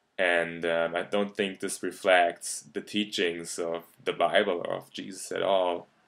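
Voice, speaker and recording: In a German accent, a man talks fairly slowly and almost without pauses, his very deep voice flat and monotone. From Germany. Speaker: YouTube commentator. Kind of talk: video response argument. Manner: halting, many fillers.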